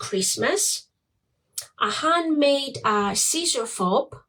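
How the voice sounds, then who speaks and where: A woman with a Greek accent speaks at a very slow pace. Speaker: small business owner, crafter. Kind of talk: product showcase livestream. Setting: facebook live. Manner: hesitant, many fillers.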